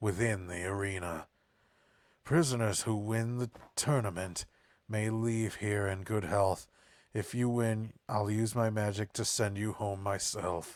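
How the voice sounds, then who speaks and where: Putting on a character voice, a man speaks at a fairly slow pace with a fairly low pitch. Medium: game stream. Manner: regal, formal.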